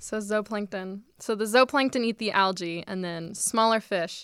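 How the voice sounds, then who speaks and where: A woman with a medium pitch and an unremarkable speaking voice talks at a fairly slow pace with fairly even intonation. The recording is very clean, with a silent background. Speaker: college student. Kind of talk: interview.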